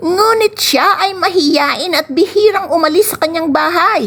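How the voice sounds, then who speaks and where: A woman puts on a character voice at an extremely high pitch. She speaks at a fairly slow pace. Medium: read story. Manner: sly.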